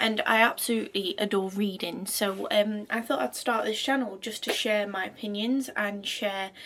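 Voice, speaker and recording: A woman with a medium pitch and hardly any pauses, amid noticeable background noise. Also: ordinary pitch variation, moderate pace. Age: 20s. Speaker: book reviewer. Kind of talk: casual talk to camera.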